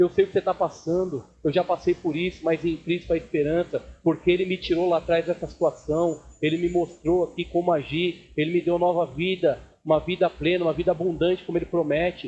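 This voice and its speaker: This man talks at a fairly quick pace, his high-pitched voice held to a monotone, flat intonation. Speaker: pastor. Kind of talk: sermon. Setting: church service with congregation.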